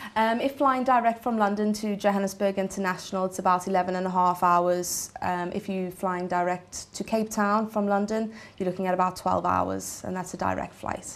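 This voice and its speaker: With a South African accent, a woman talks at a medium pitch with fairly even intonation and hardly any pauses. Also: moderate pace. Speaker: travel expert. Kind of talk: TV studio interview. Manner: hesitant, many fillers.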